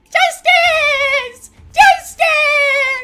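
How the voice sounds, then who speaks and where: A squeaky, put-on character voice with music in the background. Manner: heroic, grandiose, declaiming.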